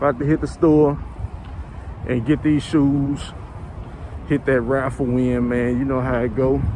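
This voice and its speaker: A man speaks quietly at a moderate pace with an American accent and fairly even intonation. Noticeable background noise is present. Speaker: sneaker YouTuber. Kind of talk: casual vlog. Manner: casual, relaxed; low quiet voice.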